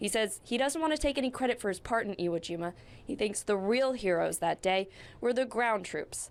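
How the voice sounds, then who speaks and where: Lively intonation marks this woman's fairly high, fairly quick speech. She has a plain, everyday voice. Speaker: TV news reporter. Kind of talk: TV news report.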